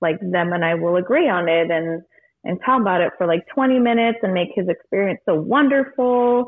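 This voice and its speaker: A woman's unremarkable speaking voice, with an American accent, lively intonation and a moderate pace. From California. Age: 20s. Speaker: bartender. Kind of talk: casual chat. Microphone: echoey room.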